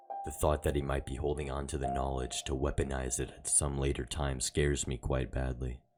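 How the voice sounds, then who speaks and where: A man with a very deep, low pitch speaks at a moderate pace as music plays in the background. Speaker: story narrator. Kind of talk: horror story narration.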